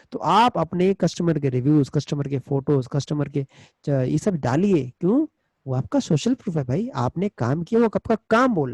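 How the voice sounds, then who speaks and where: A man's fairly high, somewhat breathy voice swings very widely in pitch. He keeps a moderate pace, and the sound is dry and close with no echo. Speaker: digital marketing trainer. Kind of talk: webinar lecture. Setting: online webinar.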